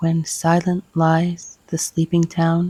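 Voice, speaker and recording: A woman's soft-spoken, soothing voice, dark and mellow in tone and somewhat breathy, at a fairly low pitch with monotone, flat intonation, a very slow pace and a dry, close sound with no echo. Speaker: ASMR poetry reader. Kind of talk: poetry reading.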